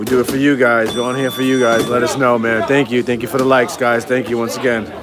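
A man talks at a very fast pace, the sound dry with no echo. Crowd noise runs in the background. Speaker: gym host filming the stream. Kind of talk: casual live-stream chat to viewers. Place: gym.

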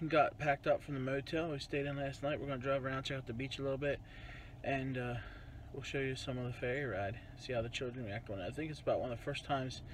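At a very fast pace, a man speaks with fairly even intonation and a somewhat breathy voice. The sound is dry with no echo, over light background noise. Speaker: family vlogger. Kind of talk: casual vlog chat. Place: car. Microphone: phone near.

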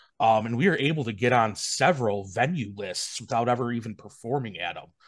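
Lively intonation marks this man's speech at a moderate pace. Behind him the background is quiet. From Wisconsin. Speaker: wedding DJ, business owner. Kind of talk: casual chat. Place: home room. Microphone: video call.

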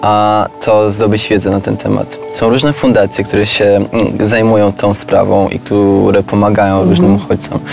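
Clear background music plays under a dry, echo-free voice with ordinary pitch variation at a moderate pace. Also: man, fairly low pitch for a man. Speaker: refugee, member of a younger generation in an intergenerational conversation. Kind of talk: conversational discussion in a filmed talk. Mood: earnest, calm. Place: garden.

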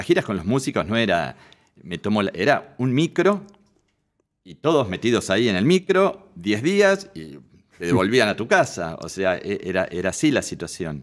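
Against a quiet background, a man with a fairly low voice talks at a moderate pace, his pitch swinging very widely and his loudness shifting a lot. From Argentina, Buenos Aires. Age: 60s. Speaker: photographer; interview guest. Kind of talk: interview. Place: studio. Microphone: studio mic.

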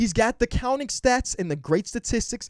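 Over a quiet background, a man with an American accent speaks at a fairly quick pace in a high pitch with very wide pitch swings, the sound dry with no echo. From US, Chicago area. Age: 20s. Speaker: sports YouTuber. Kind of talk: casual vlog commentary. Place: home room. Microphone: handheld.

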